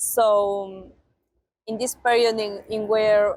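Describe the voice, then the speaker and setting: With a Spanish accent, a woman speaks at a fairly high pitch and keeps her intonation fairly even. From Argentina. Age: 20s. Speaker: au pair. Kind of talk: interview testimonial. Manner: halting, many fillers.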